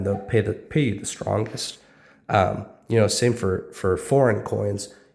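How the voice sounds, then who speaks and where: This man speaks at a moderate pace with a fairly low pitch and vocal fry. His intonation is fairly even. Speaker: coin dealer. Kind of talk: casual talk to camera.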